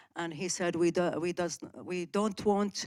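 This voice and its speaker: Speaking at a fairly slow pace with an Arabic accent, a woman is heard on a very clean recording with a silent background. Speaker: audience member. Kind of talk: conference Q&A question. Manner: halting.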